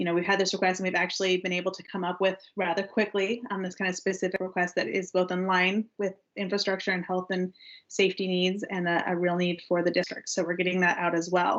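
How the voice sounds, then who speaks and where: Very fast and monotone, a woman delivers her words with flat intonation at a medium pitch. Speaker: legislative consultant. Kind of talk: meeting update.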